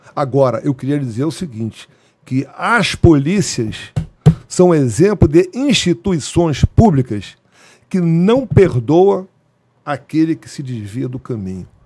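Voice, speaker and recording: Against a quiet background, a man speaks very slowly, his pitch swinging very widely and his loudness rising and falling sharply. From Brazil, Rio de Janeiro. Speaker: retired police colonel; guest. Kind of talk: interview storytelling. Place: studio. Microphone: studio mic.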